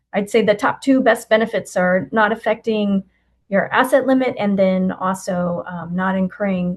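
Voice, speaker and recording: A woman's somewhat breathy voice at a medium pitch, with ordinary pitch variation. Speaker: benefits program presenter. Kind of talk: webinar presentation. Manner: fast.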